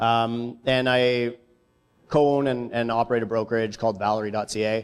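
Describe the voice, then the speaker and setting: A man talks at a moderate pace in a Canadian accent, his intonation monotone and flat. The recording is very clean, with a silent background. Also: medium pitch for a man. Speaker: real estate entrepreneur and economist. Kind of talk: conference presentation. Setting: stage with audience. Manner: casual, hesitant with fillers.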